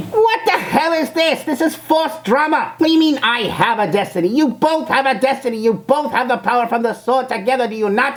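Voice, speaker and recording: A female-sounding voice puts on a character voice at a high pitch. The pace is fairly quick. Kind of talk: reaction video commentary. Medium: role play. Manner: scornful, mocking.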